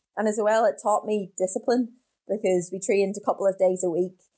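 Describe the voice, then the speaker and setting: A woman speaks at a moderate pace with a dark, mellow tone. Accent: Northern Irish. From Northern Ireland, County Down (Portaferry). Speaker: professional middle distance runner. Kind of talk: interview.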